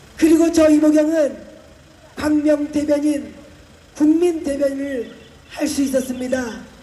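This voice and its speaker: A woman's high-pitched voice at a very slow pace, with fairly even intonation, audible room echo and noticeable background noise. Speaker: politician. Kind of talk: campaign speech. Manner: loud, rousing.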